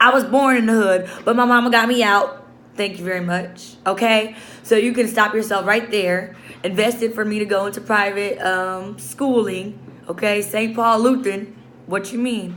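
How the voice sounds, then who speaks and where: With an American accent, a woman speaks in an animated, bright, sharp tone, with audible room echo. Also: fairly high pitch for a woman, moderate pace. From Chicago, South Side. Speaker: social work student. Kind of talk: video journal, casual monologue. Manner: loud, animated.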